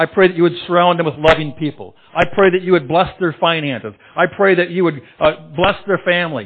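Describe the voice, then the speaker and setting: A man with a high pitch and a passionate tone, at a fairly quick pace. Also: ordinary pitch variation. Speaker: pastor. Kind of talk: sermon. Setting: church.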